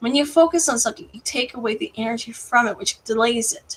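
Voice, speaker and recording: With a high pitch and ordinary pitch variation, a woman speaks at a fairly quick pace. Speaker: tarot card reader. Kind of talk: tarot reading to camera. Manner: halting, stumbling over words.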